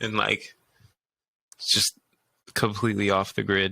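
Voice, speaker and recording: At a moderate pace, a man with an American accent speaks on a very clean recording with a silent background. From Los Angeles, San Fernando Valley. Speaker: musician, rapper. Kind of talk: casual interview chat. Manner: animated.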